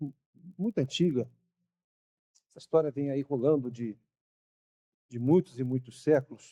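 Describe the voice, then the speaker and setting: A man at fairly high pitch with a dark, mellow tone, ordinary pitch variation, moderate pace, big swings in loudness, long, frequent pauses, and a dry, close sound with no echo. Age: 60s. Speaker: pastor. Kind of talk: sermon. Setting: church.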